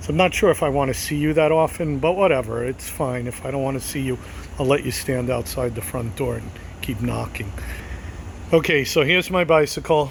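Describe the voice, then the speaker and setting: A man speaks at a fairly quick pace with lively intonation and a medium pitch. Noticeable background noise runs underneath. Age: 50s. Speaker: vlogger. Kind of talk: casual chat. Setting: outdoors. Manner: conversational.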